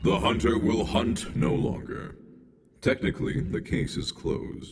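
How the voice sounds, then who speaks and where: Over a slight echo, a man uses a put-on character voice at medium pitch and a moderate pace. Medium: video game. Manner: detached, clinical.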